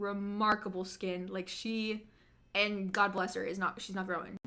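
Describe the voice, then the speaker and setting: The speaker has an animated tone at a moderate pace, with noticeable background noise behind the voice. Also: woman. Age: 20s. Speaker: YouTuber. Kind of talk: live stream chat. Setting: live stream.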